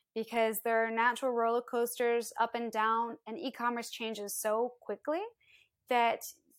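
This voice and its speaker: A woman's fairly high voice at a moderate pace, an unremarkable speaking voice. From US Midwest, Iowa. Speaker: wine entrepreneur. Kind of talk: interview. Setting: video call.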